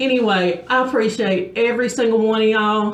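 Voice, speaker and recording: A woman speaks at a moderate pace with a fairly high pitch and ordinary pitch variation. Noticeable background noise and audible room echo surround her voice. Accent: strong Southern US. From US South, South Georgia. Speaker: beauty vlogger. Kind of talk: casual chat; tutorial. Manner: casual, conversational with fillers.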